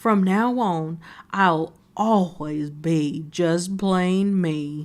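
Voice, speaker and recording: A put-on character voice at middle pitch and a very slow pace, on a very clean recording with a silent background. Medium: read story.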